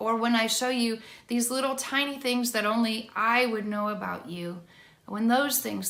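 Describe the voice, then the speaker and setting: A woman with a northern US accent at a fairly high pitch, fairly even intonation and a moderate pace, with audible room echo. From Michigan, US (Allegan). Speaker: worship songwriter. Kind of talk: teaching talk to camera.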